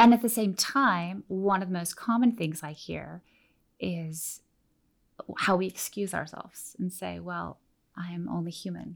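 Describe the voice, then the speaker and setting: The pace is fairly slow, and the pitch varies in an ordinary way in an ordinary speaking voice. Nothing is heard behind it in this very clean recording. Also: woman, fairly low pitch for a woman. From Oregon, US. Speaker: teacher and missionary. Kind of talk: interview, teaching talk.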